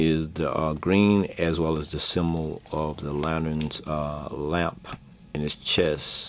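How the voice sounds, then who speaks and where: With noticeable background noise behind him, a man speaks very slowly in a very deep, low voice and a monotone, flat intonation. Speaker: comics collectibles seller and show host. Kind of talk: casual video show presentation. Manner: halting, many fillers.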